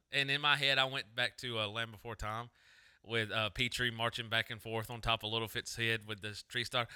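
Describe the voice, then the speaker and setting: Bright and sharp in tone but monotone and flat, a man talks at a fairly quick pace in a dry, close sound with no echo. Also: medium pitch for a man. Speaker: podcast co-host. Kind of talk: casual chat.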